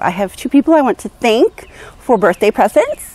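A woman's high-pitched voice swings very widely in pitch, recorded with a dry sound and no echo. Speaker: vlogger. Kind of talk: casual vlog chat. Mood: cheerful, playful. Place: garden. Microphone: lapel.

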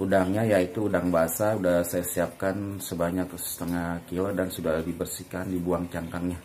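A man speaks at a very deep, low pitch and a fairly slow pace. Light background noise is present. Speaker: home cook vlogger. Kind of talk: cooking tutorial. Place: home room. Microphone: phone near.

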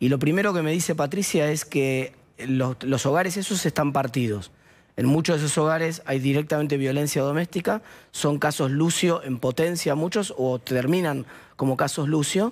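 A man with a Rioplatense accent speaks at a moderate pace and fairly high pitch, with ordinary pitch variation and very even loudness. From Argentina, La Plata; Argentina. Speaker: political commentator; TV guest. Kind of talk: interview. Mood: serious, concerned. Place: studio. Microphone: headset.

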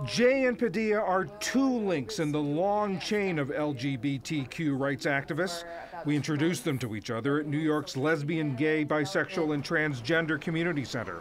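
A man with lively intonation and hardly any pauses, against noticeable background noise. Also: fairly high pitch for a man, moderate pace. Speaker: news reporter.

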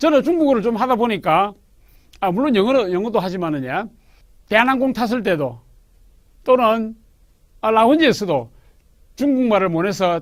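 Spoken at a moderate pace, the clip is a very clean recording with a silent background. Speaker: language academy director. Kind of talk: direct-to-camera monologue. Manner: emphatic; formal.

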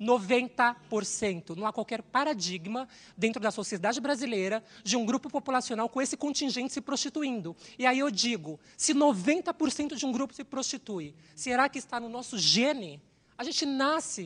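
A woman with a high pitch and lively intonation takes a fairly slow pace. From Brazil, São Paulo. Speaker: systems analyst, panelist. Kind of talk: panel talk. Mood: earnest, somewhat sorrowful. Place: hall. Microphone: handheld.

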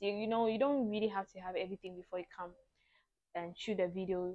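Fairly even intonation from a woman. The background is quiet. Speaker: beauty vlogger. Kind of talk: casual vlog chat. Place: home room. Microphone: lapel.

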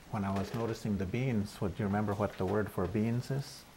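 Very fast speech comes from a man with an American accent, with noticeable background noise behind him. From US Northwest (Montana reservation). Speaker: Native language educator. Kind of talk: casual chat. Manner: halting. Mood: calm, thoughtful. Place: kitchen. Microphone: lapel.

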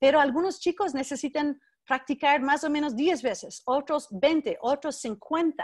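With an American accent, a woman speaks at a high pitch. The background is quiet. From US West Coast, Berkeley, California; California. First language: English (speaking Spanish). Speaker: education researcher and professor; guest lecturer. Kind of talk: keynote lecture. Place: home room. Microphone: video call.

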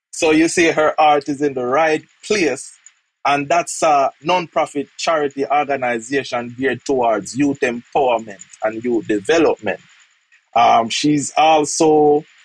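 Speaking in a Jamaican accent, a man has a fairly high pitch and a dry sound with no echo. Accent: Jamaican English with patois. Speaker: podcast host. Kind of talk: interview. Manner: repeats words, halting. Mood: warm, admiring. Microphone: earbuds.

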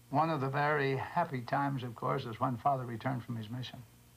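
A man speaks in a somewhat breathy voice. His intonation is flat and monotone. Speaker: interviewee. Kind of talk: interview answer. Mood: warm nostalgic reminiscence.

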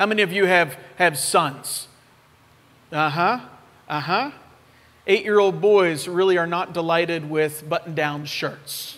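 Someone with an American accent talks at a fairly slow pace with fairly even intonation. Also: man. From western Pennsylvania (Oakmont, near Pittsburgh); Pennsylvania. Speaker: missionary preacher. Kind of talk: sermon. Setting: church. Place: church.

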